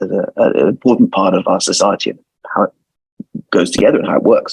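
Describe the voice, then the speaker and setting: A man with a London accent, dry and close with no echo. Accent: British (London). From London, England. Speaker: lawyer. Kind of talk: interview.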